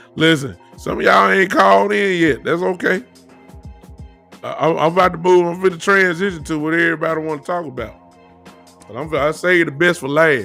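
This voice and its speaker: With a Southern accent, a man speaks in a high voice at a fairly quick pace, breaking it with long, frequent pauses. His intonation is lively, his loudness swings widely, and music plays in the background. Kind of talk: casual, relaxed radio-host style.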